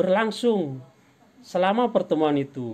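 A man's slightly mellow voice at a fairly slow pace, with big pitch swings

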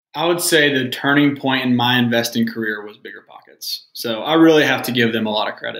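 A man talks with a plain, everyday voice at medium pitch. His pace is fairly quick, with hardly any pauses and big swings in loudness. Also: ordinary pitch variation. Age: 20s. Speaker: real estate investor. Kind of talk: casual chat.

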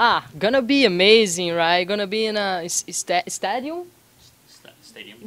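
A woman with a Brazilian accent and lively intonation. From Brazil, Belo Horizonte. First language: Portuguese. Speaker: MMA fighter. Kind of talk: sports interview. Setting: martial arts gym. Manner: halting, non-fluent English. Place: gym. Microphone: handheld.

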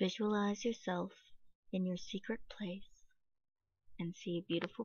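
In a soothing, calm tone, a woman speaks at a moderate pace and medium pitch. Her voice is somewhat breathy with fairly even intonation. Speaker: meditation guide. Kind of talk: guided meditation, reading aloud second-person visualization script from a book. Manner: soothing, calm and gentle, lingering on sensory descriptions.

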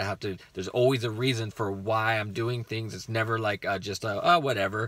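Speaking at a fairly quick pace, a man keeps his intonation fairly even. His tone is bright and sharp, and the sound is dry with no echo. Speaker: rideshare driver vlogger. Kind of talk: casual vlog chat. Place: car. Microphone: phone near.

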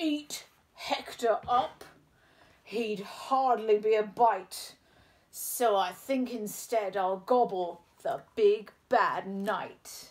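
A put-on character voice, female-sounding and fairly high in pitch. It moves at a very slow pace. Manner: greedy, gleeful.

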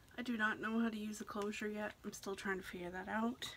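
Through noticeable background noise, a soft-spoken woman can be heard. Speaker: hair product reviewer. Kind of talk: casual product review to camera. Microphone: phone near.

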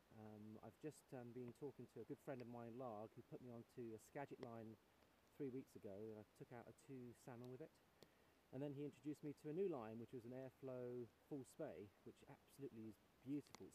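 A man with a dark, mellow tone speaks with ordinary pitch variation, the sound dry with no echo and light background noise behind him. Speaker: presenter. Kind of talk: casual vlog chat. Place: waterside. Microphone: phone near.

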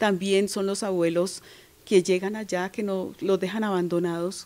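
A woman talks in a dark, mellow tone at a moderate pace. Her intonation is monotone and flat. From Colombia, Valle del Cauca. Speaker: singer-songwriter; interviewee. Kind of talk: interview. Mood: warm, moved when speaking of elders. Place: home room. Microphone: handheld.

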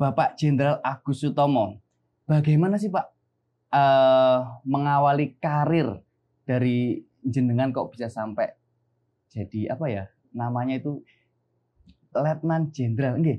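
At a fairly slow pace with long, frequent pauses, a man speaks in a dark, mellow tone, his fairly high pitch showing ordinary variation. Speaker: podcast host. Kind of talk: casual interview. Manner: nervous, polite. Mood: friendly, smiling. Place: studio.

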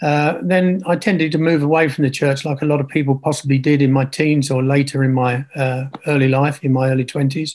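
In a southern English accent, a man speaks at a fairly quick pace and fairly high pitch, with very even loudness and fairly even intonation. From Kent, England. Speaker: retired engineer, churchgoer; interview guest. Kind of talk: casual interview. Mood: reflective, calm. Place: home room. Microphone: video call.

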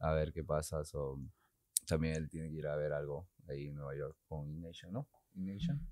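Against a quiet background, a man with a very deep, low pitch and a dark, mellow tone speaks at a moderate pace in a monotone, flat way, the sound dry with no echo. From Peru. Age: 20s. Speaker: tattoo artist. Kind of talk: casual chat. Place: studio. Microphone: studio mic.

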